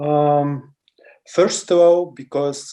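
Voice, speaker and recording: A man speaks with a Russian accent. His tone is dark and mellow. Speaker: political activist and asylum seeker. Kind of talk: interview.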